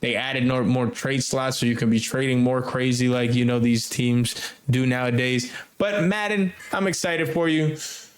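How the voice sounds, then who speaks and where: A man at medium pitch and moderate pace, with ordinary pitch variation, very even loudness, audible room echo and noticeable background noise. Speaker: gaming podcast host. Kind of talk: casual chat. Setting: remote recording.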